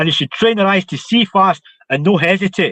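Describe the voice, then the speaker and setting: A high-pitched man at a fairly quick pace with ordinary pitch variation. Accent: Scottish. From Scotland. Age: 50s. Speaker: martial arts instructor. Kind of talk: interview.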